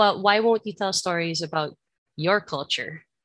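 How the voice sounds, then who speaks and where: The recording of this woman has a dry, close sound with no echo and a quiet background. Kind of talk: panel discussion. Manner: shaky voice when upset.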